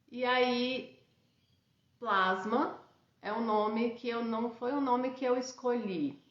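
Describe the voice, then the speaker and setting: A fairly high-pitched woman at a very slow pace, with audible room echo. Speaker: radiesthesia teacher and institute founder. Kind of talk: live-streamed class. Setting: live stream. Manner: halting, many fillers. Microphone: unstable internet connection.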